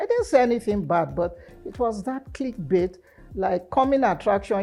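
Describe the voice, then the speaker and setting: Lively intonation over music in the background. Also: woman. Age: 70s. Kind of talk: interview answer.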